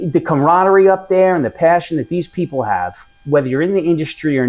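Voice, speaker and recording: A man talks with a New York accent. His pace is fairly quick. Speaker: whiskey reviewer. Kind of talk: product review. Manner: casual, conversational.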